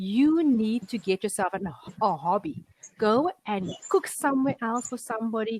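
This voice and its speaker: A woman talks at a moderate pace with lively intonation in a fairly high, somewhat breathy voice. The sound is dry and close with no echo. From South Africa. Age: 40s. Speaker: online English tutor. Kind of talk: casual chat.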